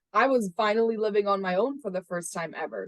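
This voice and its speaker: With a Spanish accent, a woman talks fairly quickly at a medium pitch with ordinary variation. The sound is dry and close, without echo. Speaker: sales and operations at a startup. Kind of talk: podcast interview. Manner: conversational with frequent fillers.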